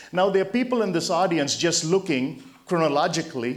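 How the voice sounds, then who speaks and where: Noticeable background noise and audible room echo surround a man speaking at a fairly high pitch and moderate pace with lively intonation. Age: 60s. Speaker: motivational speaker. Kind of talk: motivational talk. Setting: stage with audience.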